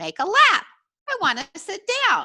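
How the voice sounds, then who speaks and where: In a put-on character voice, a woman speaks squeaky and at an extremely high pitch, with very wide pitch swings at a moderate pace. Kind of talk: 1940s radio comedy acting. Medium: stage play. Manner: sweet, coaxing, rambling.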